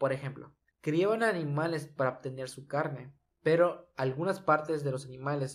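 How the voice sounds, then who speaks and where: A man's somewhat breathy, fairly high voice with ordinary pitch variation, on a very clean recording with a silent background. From Mexico, Yucatán. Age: 20s. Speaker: podcast host. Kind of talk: solo podcast monologue on environmental topic.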